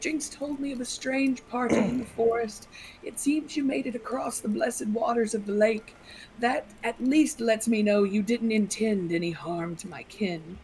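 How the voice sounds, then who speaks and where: A woman's soft-spoken, breathy put-on character voice at a fairly high pitch and moderate pace, with clear background noise. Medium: actual play. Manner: slow, calm and graceful.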